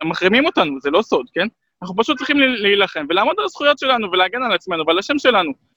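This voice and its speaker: A man with a high pitch and a bright, sharp tone projects his raised voice at a very fast pace with very wide pitch swings, in a dry, close sound with no echo. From Israel, Jerusalem. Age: 30s. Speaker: human rights activist. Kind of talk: interview.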